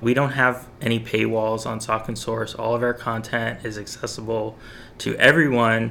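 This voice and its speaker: This man's voice has a bright, sharp tone and a medium pitch. His intonation stays fairly even. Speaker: local news podcast host and publisher. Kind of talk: news roundup and interview.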